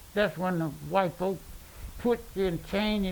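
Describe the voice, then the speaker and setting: In a Mississippi accent, a man speaks at a moderate pace. His voice is high, with fairly even intonation. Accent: Southern US (Mississippi). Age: 80s+. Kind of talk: interview answer.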